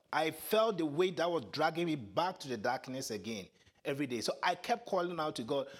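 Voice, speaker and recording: A man talks at a fairly high pitch. His voice swings very widely in pitch. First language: Twi. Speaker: preacher. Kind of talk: sermon. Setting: church.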